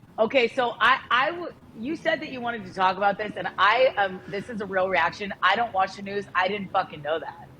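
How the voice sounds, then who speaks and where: Her animated tone, lively intonation, and big swings in loudness mark this woman's medium-pitched voice. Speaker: podcast co-host. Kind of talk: casual chat.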